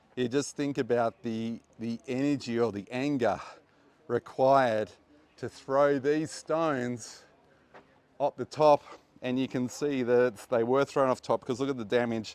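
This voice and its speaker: Recorded dry and close with no echo, a man with an Australian accent speaks at medium pitch. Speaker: tour guide and archaeology presenter. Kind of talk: guided walking tour. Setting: outdoors at archaeological site. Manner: casual, hesitant with fillers.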